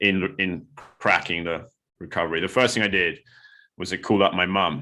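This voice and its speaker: A man speaks fairly quickly in a fairly low pitch. His tone is bright and sharp, and the background is quiet. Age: 40s. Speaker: recovering alcoholic. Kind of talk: interview testimony. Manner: hesitant, many fillers.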